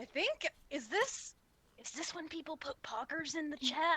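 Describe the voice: A high, gravelly put-on character voice speaks at a moderate pace.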